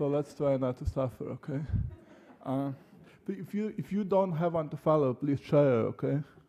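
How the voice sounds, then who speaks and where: The man's fairly high pitch comes with a dark, mellow tone. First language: Russian. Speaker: poet. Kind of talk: poetry reading.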